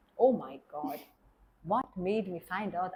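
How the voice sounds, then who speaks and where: A woman in a Hungarian accent, somewhat breathy, with lively intonation. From Hungary. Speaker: German teacher and classical Indian dancer. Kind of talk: interview. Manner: halting.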